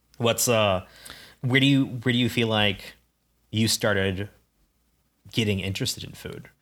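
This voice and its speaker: Moderate pace with long, frequent pauses, fairly even intonation and a Midwestern US accent. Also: man, medium pitch for a man. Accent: General American, Midwestern. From US Midwest (Ames, Iowa). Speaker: podcast co-host. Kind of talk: casual chat.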